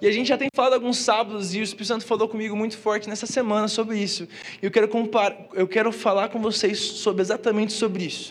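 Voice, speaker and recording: Over noticeable background noise, a man speaks very fast in a high pitch with monotone, flat intonation. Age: 20s. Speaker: youth pastor. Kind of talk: sermon. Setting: church with live audience. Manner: casual slangy delivery. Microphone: PA feedback issues.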